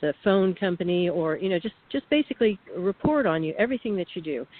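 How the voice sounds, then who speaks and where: A woman with an unremarkable speaking voice talks at a fairly quick pace and a medium pitch. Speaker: whistleblower, radio guest. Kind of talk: radio interview testimony.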